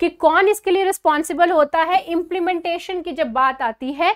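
The speech has lively intonation against a quiet background. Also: woman. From India. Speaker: current affairs teacher for exam preparation. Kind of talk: lecture. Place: studio. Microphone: lapel.

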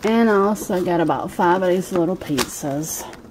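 A woman speaks over noticeable background noise. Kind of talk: casual vlog chat. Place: home room. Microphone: phone near.

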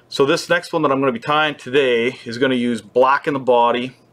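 A man speaks at a moderate pace, keeping his intonation fairly even. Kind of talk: tutorial. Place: shop. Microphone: webcam.

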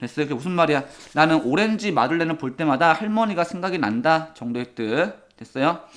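With an unremarkable speaking voice, a man talks at a fairly quick pace, his pitch fairly high and his intonation lively. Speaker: English teacher. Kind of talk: lecture.

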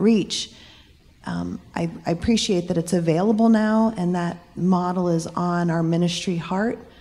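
At a fairly slow pace, the speech carries audible room echo. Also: woman, fairly low pitch for a woman. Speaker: church member asking a question. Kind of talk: church family meeting Q&A.

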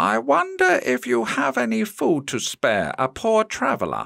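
A man's put-on character voice at medium pitch, with a dry, close sound and no echo. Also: moderate pace. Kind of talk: bedtime story. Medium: read story. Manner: polite, gentle.

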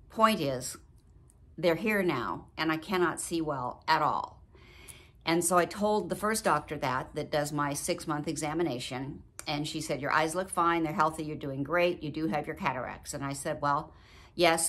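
With a very deep, low pitch, a woman speaks at a moderate pace and with ordinary pitch variation. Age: 70s. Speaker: video blogger. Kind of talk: personal vlog talk. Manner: warm, chatty. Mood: earnest, somewhat worried. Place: home room. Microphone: phone near.

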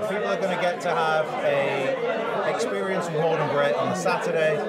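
A man at a moderate pace over crowd noise in the background. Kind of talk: interview answer. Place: hall. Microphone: lapel.

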